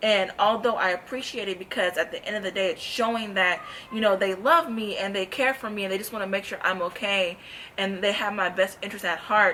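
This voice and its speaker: Noticeable background noise surrounds a woman at a medium pitch. She talks at a fairly quick pace with fairly even intonation. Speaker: gospel singer and vlogger. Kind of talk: testimony. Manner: fast.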